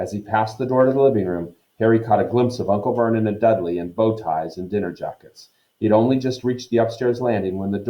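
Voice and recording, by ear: Ordinary pitch variation marks someone reading aloud in a natural voice, with a quiet background behind them.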